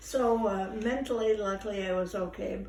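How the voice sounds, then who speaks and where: A woman talks at a moderate pace and medium pitch in a monotone with flat intonation, with noticeable background noise and audible room echo. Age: 80s+. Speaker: elderly interviewee recounting life story. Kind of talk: casual interview. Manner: halting.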